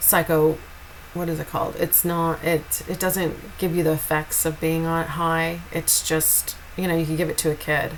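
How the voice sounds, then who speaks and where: Over noticeable background noise, a woman speaks at a moderate pace in a fairly low pitch. Her intonation is monotone and flat. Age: 50s. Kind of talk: personal testimony. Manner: slurred speech at times.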